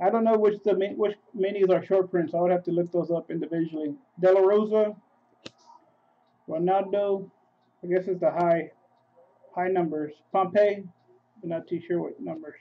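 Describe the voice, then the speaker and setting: The speaker mumbles, with long, frequent pauses. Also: moderate pace. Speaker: sports card breaker. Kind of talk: live card break stream. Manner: mumbling.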